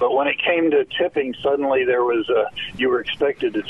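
A man talks at a fairly quick pace with an American accent. Noticeable background noise runs behind him. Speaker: caller. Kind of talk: call-in question. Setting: phone call.

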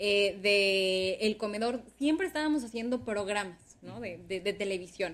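This woman has an unremarkable speaking voice with fairly high pitch. She keeps a moderate pace and ordinary pitch variation. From Sonora, Mexico (Ciudad Obregón). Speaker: communications professional and former radio/TV presenter. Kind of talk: interview.

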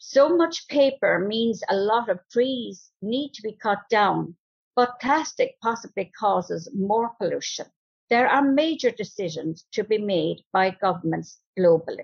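Speaking with a Cork accent, the voice is somewhat breathy and unfolds at a fairly slow pace. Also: woman, fairly high pitch for a woman, lively intonation. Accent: Cork Irish. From County Cork, Ireland. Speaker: older local resident. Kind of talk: reading aloud a prepared essay.

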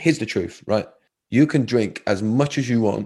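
A man's dark, mellow tone at a fairly quick pace, with ordinary pitch variation over a quiet background. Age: 30s. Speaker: resilience coach. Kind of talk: personal testimony in interview.

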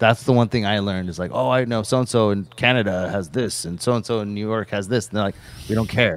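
The man talks very fast in a fairly low pitch with ordinary pitch variation. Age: 40s. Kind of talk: casual livestream Q&A.

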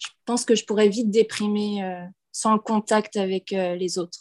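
A woman speaks at a medium pitch and a moderate pace. Her intonation is monotone and flat, and the sound is dry and close with no echo. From western France (Nantes). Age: 20s. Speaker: expatriate, former preschool worker. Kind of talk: casual interview.

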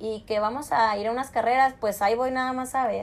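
A woman's fairly high-pitched, fairly quick delivery with ordinary pitch variation, a plain, everyday voice. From northern Mexico (Chihuahua). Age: 20s. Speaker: rodeo and motocross athlete. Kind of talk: interview. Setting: video call.

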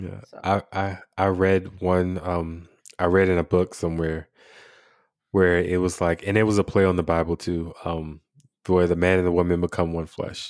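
Very clean recording with a silent background: a man with an American accent, very deep and low in pitch, monotone and flat, at a moderate pace. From Washington, D.C. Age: 30s. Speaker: military service member, podcast host. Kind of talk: casual interview conversation.

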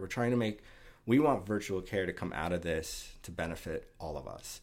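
Recorded very cleanly against a silent background, a man with a New York accent speaks with ordinary pitch variation. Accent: New York American. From US, New York City. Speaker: patient advocate. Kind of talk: interview. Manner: halting, many fillers and repetitions.

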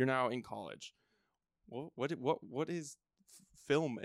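A man talks at a moderate pace with vocal fry. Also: dry, close sound with no echo. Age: 20s. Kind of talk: casual chat.

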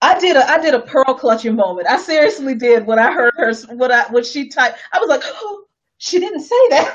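Using an American accent, a woman speaks at a moderate pace in a high pitch, her tone animated and her pitch swinging very widely. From US small town. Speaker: activist and commentator. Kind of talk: casual chat.

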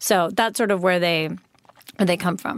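In an unremarkable speaking voice with an American accent, the speaker moves at a fairly quick pace with ordinary pitch variation. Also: woman. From US Midwest, Chicago suburbs. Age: 30s. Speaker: skincare brand founder. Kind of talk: interview.

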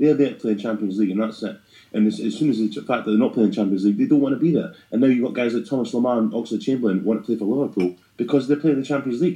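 Talking at a very fast pace, a man uses a medium pitch with ordinary pitch variation. His tone is dark and mellow, in a Scottish accent. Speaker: football podcast host. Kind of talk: casual chat about football. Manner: fast talker.

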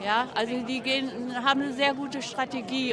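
Over crowd noise and audible room echo, a woman with a high voice speaks with fairly even intonation. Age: 70s. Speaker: activist. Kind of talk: street interview. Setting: outdoors.

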